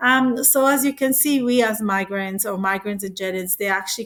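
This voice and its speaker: In a non-native accent, a woman speaks at a fairly quick pace. Her pitch varies in an ordinary way. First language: not English. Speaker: presenter. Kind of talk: presentation. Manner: halting, with fillers and restarts.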